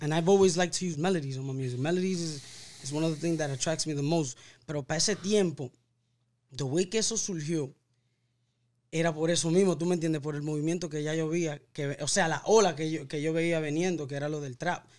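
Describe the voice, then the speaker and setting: A man talks fairly quickly at a fairly high pitch. His intonation is fairly even. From Harlem, New York (Dominican-born); New York. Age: 30s. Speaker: singer-songwriter; podcast guest. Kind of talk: casual interview chat. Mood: relaxed, reflective storytelling. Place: studio. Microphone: studio mic.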